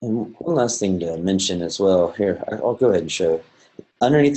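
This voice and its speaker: This man has a plain, everyday voice, pitched fairly low with ordinary pitch variation. He talks at a moderate pace against a quiet background. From US South (Georgia). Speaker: plant scientist and bioinformatics presenter; presenter. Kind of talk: webinar software demonstration. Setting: online webinar. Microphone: webcam.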